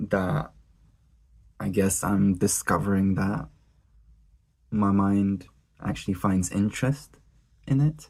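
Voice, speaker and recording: With a non-native accent, a man speaks very slowly at a fairly low pitch, using ordinary pitch variation and long, frequent pauses. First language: not English. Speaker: vlogger. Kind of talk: casual vlog monologue.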